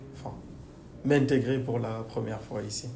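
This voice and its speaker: A medium-pitched man speaks very slowly in a dark, mellow, somewhat breathy tone with fairly even intonation and audible room echo. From Guinea. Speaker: engineer. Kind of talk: interview. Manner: hesitant.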